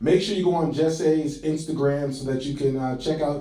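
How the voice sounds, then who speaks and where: A man with an American accent speaks in a fairly high pitch with fairly even intonation. Noticeable background noise and audible room echo surround him. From Boston, Massachusetts. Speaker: podcast host. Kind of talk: casual chat.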